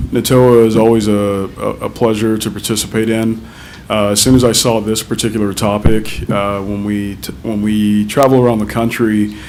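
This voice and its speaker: In audible room echo, a man with a fairly low pitch speaks at a moderate pace with monotone, flat intonation. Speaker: technology vendor presenter. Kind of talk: conference presentation. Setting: conference stage with audience. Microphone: too quiet at first, moved closer.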